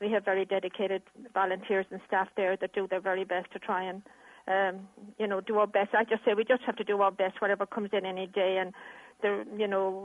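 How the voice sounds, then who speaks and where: A woman's medium-pitched voice with an Irish accent, a fairly quick pace and monotone, flat intonation. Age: 70s. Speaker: animal welfare charity chairperson. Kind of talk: interview.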